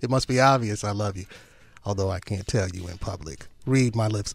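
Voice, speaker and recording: Lively in intonation, a man talks at a fairly quick pace in an unremarkable speaking voice. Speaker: radio announcer. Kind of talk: radio DJ show hosting. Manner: relaxed, smooth.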